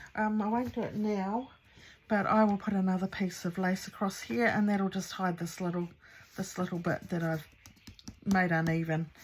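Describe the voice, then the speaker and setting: Her voice somewhat breathy, a woman speaks at a moderate pace with a medium pitch and ordinary pitch variation. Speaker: crafting youtuber. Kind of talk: tutorial. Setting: home craft studio. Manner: casual, hesitant with fillers.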